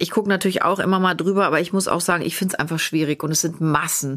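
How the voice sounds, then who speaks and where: Her voice is a plain, everyday voice, fairly low in pitch for a woman, with fairly even intonation. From Cologne, Germany. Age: 40s. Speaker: podcast host. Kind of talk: casual chat.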